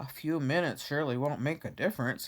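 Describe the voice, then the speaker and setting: A put-on character voice, gruff and growling, sits at a low-to-middle pitch. The lines come out at a very fast pace. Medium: read story. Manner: sly.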